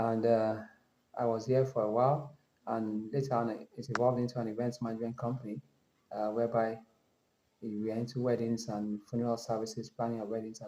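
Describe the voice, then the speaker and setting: Rattling along at a very fast pace, a man speaks at a medium pitch in a monotone, flat intonation. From Nigeria. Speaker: travel vlogger. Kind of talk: casual vlog monologue. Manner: halting, with many fillers and self-corrections.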